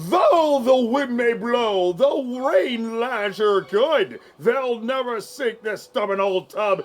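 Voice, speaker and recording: A put-on character voice, fairly high in pitch, moves at a very slow pace. It runs on with hardly any pauses. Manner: defiant, salty sea-captain bravado.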